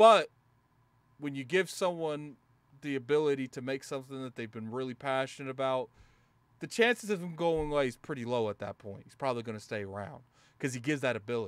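A man talks at a fairly quick pace and a fairly high pitch, with ordinary pitch variation and long, frequent pauses. His loudness swings widely, and the recording is very clean with a silent background. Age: 30s. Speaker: gaming podcast host. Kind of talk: casual chat. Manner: soft-spoken.

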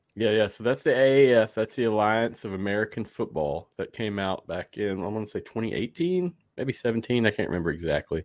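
With a plain, everyday voice, a man talks at a fairly quick pace with lively intonation and hardly any pauses, his pitch fairly low. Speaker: sports podcaster. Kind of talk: casual interview. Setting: video call.

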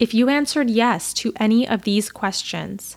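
In a very clean recording with a silent background, a woman with an American accent and a fairly high pitch speaks at a fairly slow pace. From Chicago, US Midwest. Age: 30s. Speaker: podcast host. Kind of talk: solo podcast monologue.

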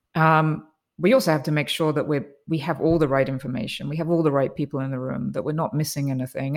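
On a very clean recording with a silent background, a woman with a very deep, low pitch speaks at a very fast pace with ordinary pitch variation. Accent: English. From England. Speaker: biotech executive. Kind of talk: interview.

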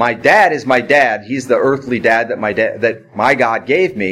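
Noticeable background noise is present. Over it, a man's voice is heard. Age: 50s. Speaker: pastor. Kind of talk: sermon. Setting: church.

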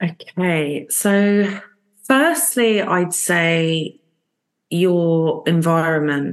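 A woman with a London accent, very slow pace and ordinary pitch variation. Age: 30s. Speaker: recovering alcoholic sharing story. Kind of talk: testimony.

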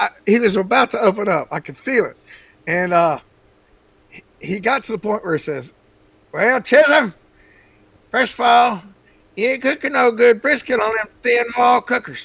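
A man with a Texan accent talks at a moderate pace with lively intonation and a high pitch. Long, frequent pauses break up his speech. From Texas. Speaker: barbecue seasoning maker. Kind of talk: interview.

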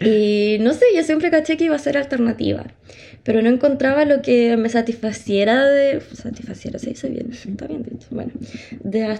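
Speaking at a moderate pace with a Chilean accent, a woman uses a fairly high pitch, a dark, mellow tone and ordinary pitch variation. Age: 20s. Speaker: podcast co-host, psychology student. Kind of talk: casual chat. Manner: animated.

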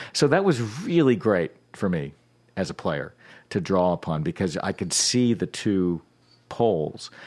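On a very clean recording with a silent background, a man speaks with an American accent at a fairly low pitch. His pitch swings very widely, and he takes long, frequent pauses. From Virginia. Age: 60s. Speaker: banjo player and teacher. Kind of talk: interview conversation.

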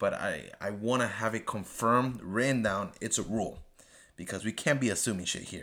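With a non-native accent, a man talks at a medium pitch with ordinary pitch variation and a bright, sharp tone. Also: fairly quick pace. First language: not English. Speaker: podcast host. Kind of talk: solo TV episode review monologue. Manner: animated.

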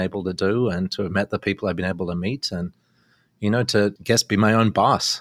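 In a very clean recording with a silent background and a dry, close sound with no echo, a man talks at a very fast pace and a fairly low pitch. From Australia. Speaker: businessman and university chancellor. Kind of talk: interview.

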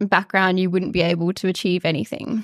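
Recorded very cleanly against a silent background, a woman with an Australian accent speaks in a dry, close sound with no echo. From far north Queensland, Australia. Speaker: psychiatry registrar and peer support charity founder. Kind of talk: interview.

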